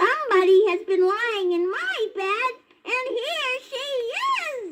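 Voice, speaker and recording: A woman uses a put-on character voice, pitched extremely high. She speaks at a fairly slow pace. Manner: exclaiming, surprised.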